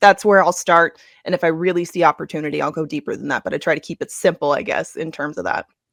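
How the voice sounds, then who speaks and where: Talking at a very fast pace with vocal fry, a woman keeps a fairly low pitch and fairly even intonation, and the recording is very clean, dry and close, with a silent background and no echo. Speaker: track handicapper and race announcer. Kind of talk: podcast interview answer.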